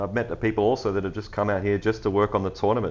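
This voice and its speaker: In an Australian accent, a man with a fairly low voice talks against a quiet background. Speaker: football podcast host. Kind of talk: casual chat.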